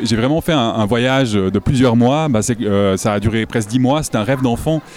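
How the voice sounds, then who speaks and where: Speaking at a fairly quick pace, a man has an unremarkable speaking voice of medium pitch, with ordinary pitch variation and very even loudness. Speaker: naturalist and illustrator. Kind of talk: casual interview. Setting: festival with crowd noise.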